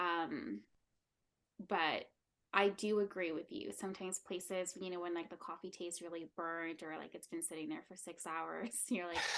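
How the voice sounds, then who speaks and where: A woman speaks at a moderate pace. Her voice is fairly low, with ordinary pitch variation. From Canada. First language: Spanish. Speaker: content and branding specialist. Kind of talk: casual chat.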